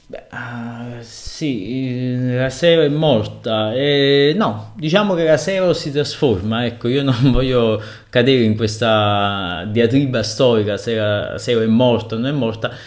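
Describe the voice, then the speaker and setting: A man at a very slow pace, with ordinary pitch variation, against a quiet background. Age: 30s. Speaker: blogger and web writer, author; guest. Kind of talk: interview answers. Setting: remote link. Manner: halting, many fillers. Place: home room.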